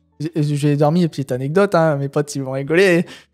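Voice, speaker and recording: Over music in the background, a man talks in a Picard accent. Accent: Picard accent, recognisable. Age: 20s. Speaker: truck driver and urban explorer. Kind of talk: casual interview chat. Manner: hesitant, many fillers (euh, tu vois).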